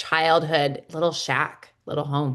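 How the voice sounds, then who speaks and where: A woman with a Midwestern American accent speaks at a fairly low pitch over a quiet background. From US Midwest. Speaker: podcast host. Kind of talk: podcast interview.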